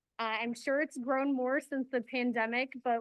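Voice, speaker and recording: A woman speaks loudly at a high pitch. Her intonation stays fairly even. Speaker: city sustainability staff presenter. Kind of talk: presentation.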